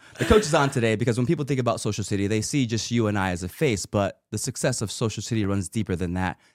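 A man at medium pitch, talking at a very fast pace with hardly any pauses. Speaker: podcast host. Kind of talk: casual chat. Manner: hype announcer patter, loud, crowd-pumping, rapid-fire.

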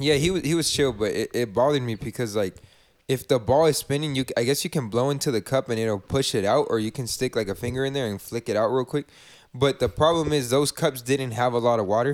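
Talking very fast at a medium pitch with ordinary pitch variation, a man comes through a very clean recording with a silent background and a dry, close sound with no echo. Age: 20s. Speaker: podcast co-host. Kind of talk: casual chat.

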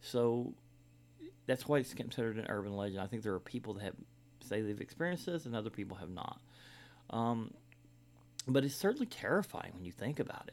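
A man speaks at a very fast pace and medium pitch with lively intonation. Long, frequent pauses break up his speech. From Kentucky. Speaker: podcast host. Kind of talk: storytelling monologue. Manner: hesitant, many fillers.

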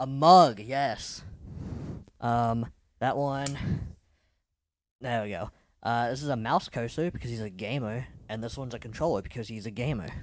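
A man talks at a moderate pace with a medium pitch and ordinary pitch variation, leaving long, frequent pauses. The recording is very clean, with a silent background. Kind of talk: casual chat. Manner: joking.

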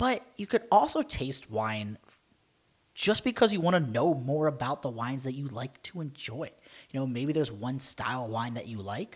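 With a normal speaking voice, a man talks at a moderate pace and medium pitch, his intonation lively and his loudness swinging widely. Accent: American. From Maryland, US. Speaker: wine podcast co-host. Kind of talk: casual chat.

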